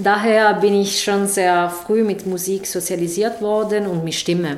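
A woman's medium-pitched voice in an Italian accent, fairly even intonation, noticeable background noise and audible room echo. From southern Italy, Taranto. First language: Italian (speaking German). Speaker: sound artist. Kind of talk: interview. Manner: halting.

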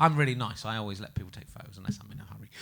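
A man talks with an English accent. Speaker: comedian and podcast host. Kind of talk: live comedy podcast. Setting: stage with audience.

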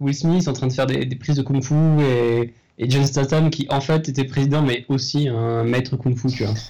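With a dark, mellow tone and a somewhat breathy quality, a man speaks at medium pitch with fairly even intonation. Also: moderate pace. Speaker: podcast co-host, guesses film plots. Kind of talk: casual chat, improvised comedy.

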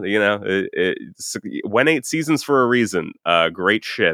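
A man's ordinary speaking voice with lively intonation. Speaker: podcast guest. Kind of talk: casual chat.

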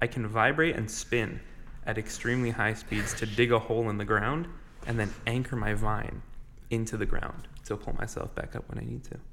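A man with an ordinary speaking voice talks at a moderate pace and a medium pitch with fairly even intonation. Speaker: tabletop game player. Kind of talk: casual chat.

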